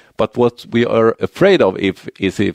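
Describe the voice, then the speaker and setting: A man speaks with a Swedish accent in a dry, close recording that has no echo. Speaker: university lecturer in building and real estate economics. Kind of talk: conference presentation. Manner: halting, many repetitions and fillers.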